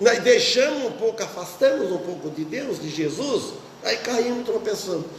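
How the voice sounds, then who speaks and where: A man's high voice with very wide pitch swings, audible room echo and noticeable background noise. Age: 60s. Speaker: pastor. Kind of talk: sermon. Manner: halting.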